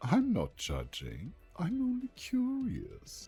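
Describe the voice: The voice is a put-on character voice, delivered at a very slow pace. Faint music sits in the background.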